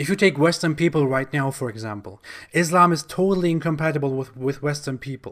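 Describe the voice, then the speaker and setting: Fairly quick pace and ordinary pitch variation on a very clean recording with a silent background. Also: man. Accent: German. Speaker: YouTuber, Islam critic. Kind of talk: commentary monologue.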